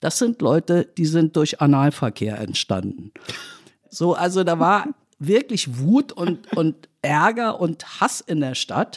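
Speaking very slowly with vocal fry, a woman's fairly low voice makes very wide pitch swings in a dry, close sound with no echo. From West Berlin, Germany (born in Tehran). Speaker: political journalist. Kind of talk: casual chat.

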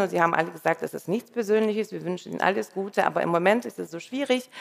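At a very fast pace, a woman talks. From Russia, St. Petersburg. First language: Russian (speaking German). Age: 50s. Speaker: radio editor-in-chief. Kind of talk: live stage conversation. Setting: stage with audience.

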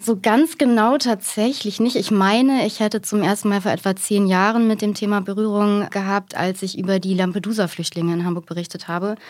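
In a normal speaking voice, a woman talks at a fairly quick pace with hardly any pauses. Her pitch is medium, with ordinary pitch variation. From Germany, East Westphalia. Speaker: journalist. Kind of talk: podcast interview. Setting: studio.

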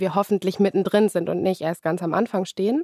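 A woman with a normal speaking voice talks at a medium pitch and a fairly quick pace with ordinary pitch variation, the sound dry and close with no echo in a very clean recording with a silent background. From Germany, Lower Saxony (Hildesheim). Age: 20s. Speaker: politician. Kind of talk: interview.

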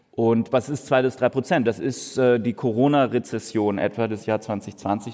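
Dark and mellow in tone, a man's medium-pitched voice moves with ordinary pitch variation. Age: 40s. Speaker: economist. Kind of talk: live podcast conversation. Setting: stage with audience.

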